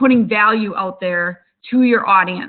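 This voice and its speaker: With a Wisconsin accent, the speaker goes at a moderate pace with ordinary pitch variation. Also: woman. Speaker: webinar host, social media business owner. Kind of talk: webinar presentation. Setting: online webinar.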